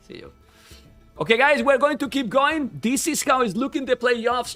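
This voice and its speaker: Over music in the background, a man speaks in an animated tone with a raised, projected voice. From Spain. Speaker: esports caster. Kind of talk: live stream commentary.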